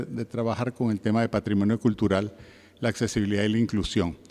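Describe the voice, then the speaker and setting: Very cleanly recorded against a silent background, a man speaks in a dark, mellow tone with a Caribbean accent. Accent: Caribbean Spanish, lasting. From Venezuela. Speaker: heritage and museum expert, panelist. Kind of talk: conference talk. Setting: conference panel with audience. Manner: formal, with filler 'eh' hesitations.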